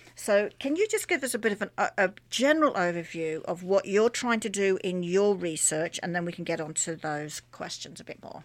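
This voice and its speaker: At a moderate pace, a woman with an unremarkable speaking voice talks with lively intonation, hardly any pauses and big swings in loudness. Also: medium pitch for a woman. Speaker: radio host. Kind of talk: radio interview. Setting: radio studio. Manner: upbeat, friendly.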